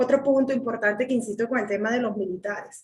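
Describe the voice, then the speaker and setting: A woman speaks with a Venezuelan accent. Her pitch varies in an ordinary way. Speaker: political commentator. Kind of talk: panel discussion. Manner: animated.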